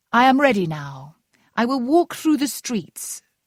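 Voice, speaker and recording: A female-sounding put-on character voice, high in pitch with very wide pitch swings, in a very clean recording with a silent background. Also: moderate pace. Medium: read story.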